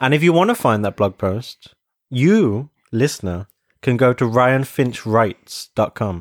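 In a very clean recording with a silent background and a dry, close sound with no echo, a man with a British accent speaks at a medium pitch and a fairly slow pace with lively intonation. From Britain. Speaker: podcast co-host. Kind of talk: casual chat. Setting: in-person recording at home on a sofa. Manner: animated.

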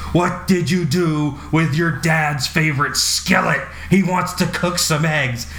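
In a put-on character voice, a man talks at a fairly slow pace and a high pitch, with clear background noise behind him. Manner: screaming.

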